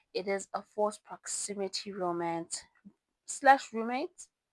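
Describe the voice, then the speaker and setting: A woman with a non-native accent at medium pitch, speaking fairly slowly with ordinary pitch variation in a dry, close sound with no echo. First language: not English. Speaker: book reviewer. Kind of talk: casual book review vlog. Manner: halting, self-correcting; animated.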